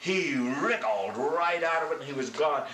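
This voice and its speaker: A man's lively intonation, with audible room echo and light background noise. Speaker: grandfather storyteller. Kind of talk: oral story told to grandchildren. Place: home room.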